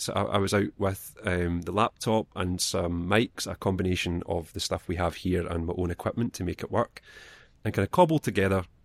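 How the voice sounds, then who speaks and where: A man speaks in a Scottish accent at a moderate pace, with ordinary pitch variation. The sound is dry and close with no echo, in a very clean recording with a silent background. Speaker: library children's assistant. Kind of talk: casual chat.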